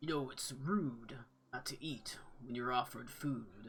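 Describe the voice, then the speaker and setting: A man performs a put-on character voice that is booming and raspy, at a medium pitch with ordinary variation and a moderate pace. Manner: stern, authoritative.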